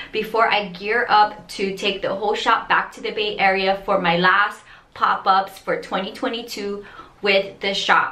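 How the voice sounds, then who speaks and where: In an audible room echo, a woman speaks at a fairly slow pace with monotone, flat intonation. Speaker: resin art vlogger. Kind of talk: casual vlog chat. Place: bathroom. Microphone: phone near.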